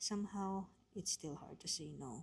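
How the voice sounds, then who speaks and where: A woman's somewhat breathy voice at a very slow pace, with ordinary pitch variation. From Philippines. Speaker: home care nurse and vlogger. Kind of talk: vlog narration.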